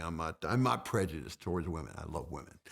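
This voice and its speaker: Vocal fry runs through this man's speech. The recording is very clean, with a silent background. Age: 50s. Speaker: fitness guest, reality TV personality. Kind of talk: casual chat. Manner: repetitive, stammering; animated.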